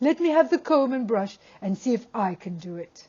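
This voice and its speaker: Someone puts on a character voice with a fairly high pitch. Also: moderate pace. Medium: read story.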